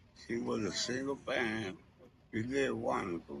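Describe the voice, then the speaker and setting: With an American accent, a man speaks at a fairly low pitch with lively intonation and vocal fry. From Indianapolis, Indiana, US Midwest. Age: 70s. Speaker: former street figure interviewed about his life. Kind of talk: interview, casual storytelling.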